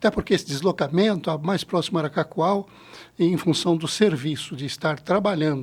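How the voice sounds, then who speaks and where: Speaking at a moderate pace with ordinary pitch variation, a man with a high voice is heard on a very clean recording with a silent background. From Brazil, Paraná (Paranavaí), raised mostly in Rondônia. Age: 60s. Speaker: credit cooperative founder. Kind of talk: podcast interview.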